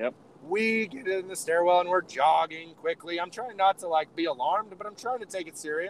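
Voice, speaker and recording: The sound is dry and close with no echo, as a man speaks in a high pitch with ordinary pitch variation. His tone is animated, and his loudness swings widely. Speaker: podcast co-host. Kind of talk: casual chat. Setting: on the road, remote call.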